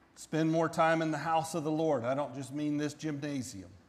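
With audible room echo around him, a man with an American accent speaks fairly slowly at a fairly high pitch for a man. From US South, central Florida. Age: 40s. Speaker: pastor. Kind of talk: sermon.

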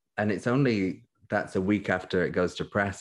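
The speaker talks at a moderate pace with a British accent. The background is quiet. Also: man. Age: 20s. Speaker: magazine editor. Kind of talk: casual chat.

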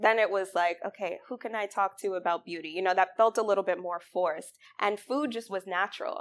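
A woman in an American accent with a normal speaking voice, medium pitch, fairly even intonation, a fairly quick pace and hardly any pauses. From New York, Mount Vernon. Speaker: restaurant critic. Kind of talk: author talk.

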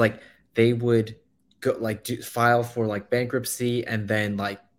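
A man at medium pitch talks at a moderate pace. His intonation is monotone and flat. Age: 20s. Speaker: real estate investor. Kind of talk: casual chat on live stream. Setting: joined live stream remotely.

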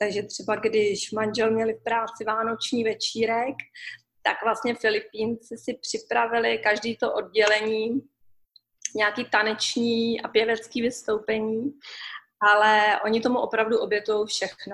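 A woman speaks with a fairly high pitch and a monotone, flat intonation. Her pace is fairly slow. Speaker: expat mother. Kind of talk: interview.

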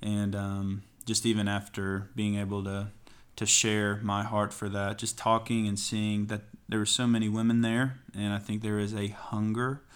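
A man with an American accent, fairly low in pitch, monotone and flat, at a moderate pace, on a very clean recording with a silent background. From East Tennessee. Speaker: pastor. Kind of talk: podcast interview.

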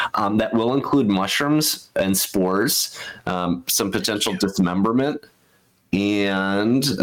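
A man's fairly low voice with lively intonation, an ordinary speaking voice. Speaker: game creator; game master. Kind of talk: tabletop roleplaying game session.

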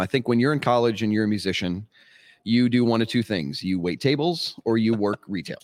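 A man with an American accent and an ordinary speaking voice talks at a fairly quick pace and medium pitch with ordinary pitch variation, in a very clean, dry, close recording with a silent background and no echo. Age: 40s. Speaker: cigar industry sales rep, former vocalist. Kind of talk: casual chat.

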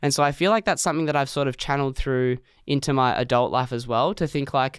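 On a very clean recording with a silent background, a man with an Australian accent talks very fast at a fairly high pitch. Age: 20s. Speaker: podcast guest. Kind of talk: casual chat. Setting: studio.

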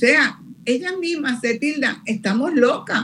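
Against noticeable background noise, a woman speaks at a fairly slow pace in a high voice. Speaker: demographer, retired professor. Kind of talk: interview.

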